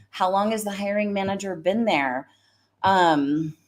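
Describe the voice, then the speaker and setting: Here a woman speaks at a fairly slow pace. Her pitch sits in the medium range with ordinary variation. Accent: American. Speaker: career coach and recruiter. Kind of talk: live stream talk. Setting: live stream. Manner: animated.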